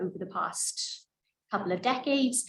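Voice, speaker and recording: Somewhat breathy and lively in intonation, a woman speaks at a moderate pace amid audible room echo. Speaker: mental health researcher. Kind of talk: lecture. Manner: soft-spoken.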